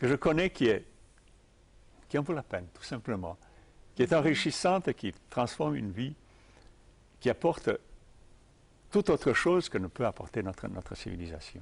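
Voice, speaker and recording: Using vocal fry, a man speaks with very wide pitch swings, big swings in loudness and long, frequent pauses. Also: medium pitch for a man, moderate pace. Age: old. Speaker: tai chi teacher. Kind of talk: interview. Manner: halting.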